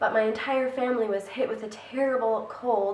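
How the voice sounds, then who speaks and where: A woman talks at a moderate pace with fairly even intonation against noticeable background noise. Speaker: book vlogger. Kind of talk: casual talk to camera.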